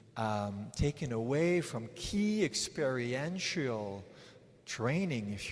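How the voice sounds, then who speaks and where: Lively intonation runs through a man's very slow speech. Audible room echo is present. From Switzerland. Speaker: psychologist. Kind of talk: conference talk. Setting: stage with audience. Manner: halting.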